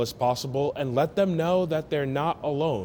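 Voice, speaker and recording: A man speaks over noticeable background noise. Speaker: sports reporter. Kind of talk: sports news package narration.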